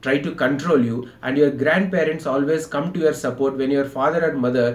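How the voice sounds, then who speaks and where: With audible room echo around him, a man talks at a moderate pace. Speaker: english teacher. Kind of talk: lecture. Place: home room.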